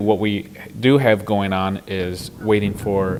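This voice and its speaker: Against noticeable background noise, a man speaks with a fairly low pitch and fairly even intonation. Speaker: city mayor. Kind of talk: interview answer.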